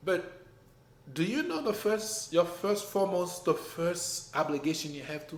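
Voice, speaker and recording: A man with a French accent and a high voice at a moderate pace, ordinary pitch variation and big swings in loudness, with audible room echo and noticeable background noise. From Haiti. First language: French or Haitian Creole. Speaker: business owner. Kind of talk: casual chat.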